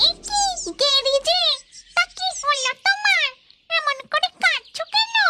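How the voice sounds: A squeaky, cartoonish character voice at an extremely high pitch moves at a fairly slow pace over background music.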